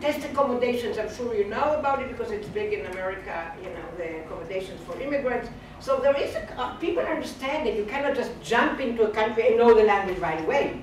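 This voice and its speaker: A woman with a non-native accent at a very fast pace, hardly any pauses, high pitch and lively intonation, big swings in loudness, audible room echo and noticeable background noise. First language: Hebrew. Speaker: professor. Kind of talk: lecture. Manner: halting.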